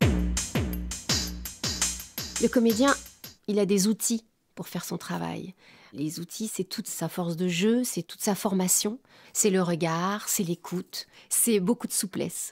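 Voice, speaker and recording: Very slow speech in a dry, close sound with no echo. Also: woman. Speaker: voice actor. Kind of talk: interview answer.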